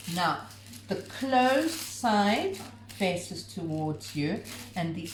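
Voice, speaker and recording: At a very slow pace, the voice swings very widely in pitch, with light background noise and audible room echo. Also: woman. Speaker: home cooking video host. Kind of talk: cooking tutorial; casual chat. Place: home room. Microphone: camera far.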